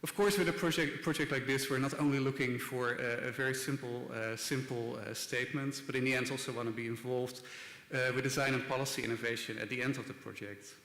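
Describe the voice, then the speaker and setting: In a Dutch accent, a man talks at a very fast pace with fairly even intonation, with noticeable background noise and audible room echo. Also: medium pitch for a man. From Netherlands (Rotterdam). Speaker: design institute director. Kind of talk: conference talk. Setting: stage with audience. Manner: hesitant, many filler words.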